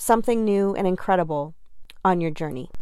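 A woman is speaking. She has an American accent. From New Jersey. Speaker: podcaster and confidence coach. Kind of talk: solo podcast monologue.

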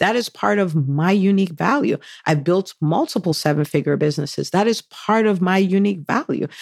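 With an American accent, a woman at medium pitch speaks fairly quickly in an animated, enthusiastic tone with lively intonation, very even loudness and a dry, close sound with no echo. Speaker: podcast host and physician entrepreneur coach. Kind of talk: solo podcast monologue, motivational talk.

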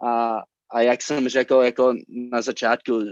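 A man with an English accent speaks at a medium pitch in a flat, monotone way. The sound is dry and close with no echo, over a quiet background. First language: English (speaking Czech). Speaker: pastor. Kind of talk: sermon. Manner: halting.

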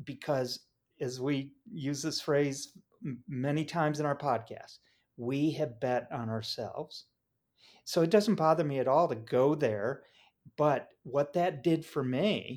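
On a very clean recording with a silent background, a man with an unremarkable speaking voice talks at a fairly slow pace, his pitch fairly high with ordinary variation. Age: 60s. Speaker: entrepreneur and business mentor. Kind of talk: casual chat.

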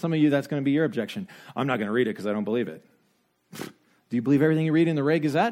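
A man speaks at a very fast pace with lively intonation, his pitch fairly high. The recording is very clean, with a silent background. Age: 40s. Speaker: pastor. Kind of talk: sermon. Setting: church.

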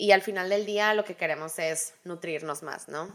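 With an ordinary speaking voice, a woman talks at a moderate pace using ordinary pitch variation. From Hermosillo, Sonora, Mexico. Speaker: podcast co-host. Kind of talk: casual chat.

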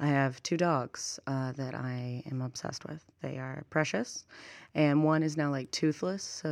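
In a very clean recording with a silent background, a woman with a very deep, low pitch speaks at a fairly slow pace in an animated tone, with ordinary pitch variation and big swings in loudness. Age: 20s. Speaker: youth event programmer and writer. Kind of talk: casual interview. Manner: animated, laughing often.

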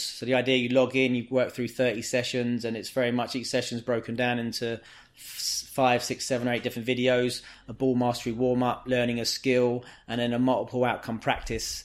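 The speaker has a London accent and talks at a very fast pace. The intonation is monotone and flat, with noticeable background noise. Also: man. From England, inner-city London. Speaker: football coach. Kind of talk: casual interview.

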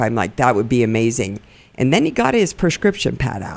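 A woman's very deep, low-pitched voice. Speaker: podcast host. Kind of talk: interview. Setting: studio.

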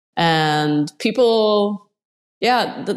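A woman with a Swedish accent speaks at medium pitch. Her pitch swings very widely. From Sweden. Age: 40s. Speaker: amateur surfer. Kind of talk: interview. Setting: remote call.

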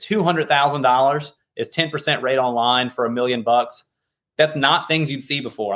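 A man with a normal speaking voice talks at a fairly slow pace, using fairly high pitch and fairly even intonation. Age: 30s. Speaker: insurance broker. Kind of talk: casual interview.

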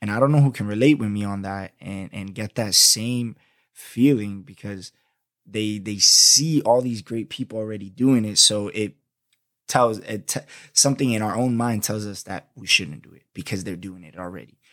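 Recorded very cleanly against a silent background, a man with a New York accent speaks in a fairly low, animated voice at a moderate pace, with ordinary pitch variation and big swings in loudness. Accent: New York-like American. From Florida, US. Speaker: podcast host. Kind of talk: casual solo podcast monologue. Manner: animated, slangy; laughs often.

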